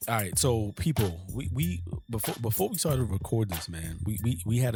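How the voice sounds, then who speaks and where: On a very clean recording with a silent background, a man speaks at a moderate pace with a fairly low pitch and ordinary pitch variation. His tone is dark and mellow, and somewhat breathy. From New York (Harlem). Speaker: podcast co-host. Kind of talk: casual chat. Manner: animated.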